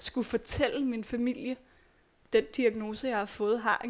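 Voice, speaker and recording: In a very clean recording with a silent background, a woman has an unremarkable speaking voice at a fairly high pitch. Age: 20s. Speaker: chronically ill patient and nursing student. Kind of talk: personal testimony interview. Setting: at her home.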